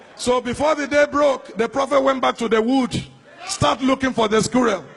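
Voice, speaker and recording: A man talks at a moderate pace in an extremely high pitch, with noticeable background noise behind him. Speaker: preacher. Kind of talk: sermon.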